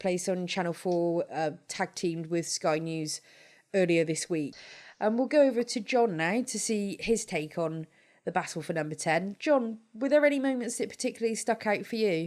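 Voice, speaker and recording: With a British accent, a woman speaks at a medium pitch using lively intonation. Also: very clean recording, silent background. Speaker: podcast host. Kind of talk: podcast discussion.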